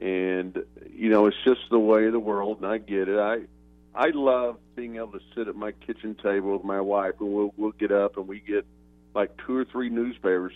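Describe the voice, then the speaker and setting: A man's fairly low voice, fairly even in intonation, at a moderate pace. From Oklahoma. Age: 60s. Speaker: retired sports journalist. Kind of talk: interview.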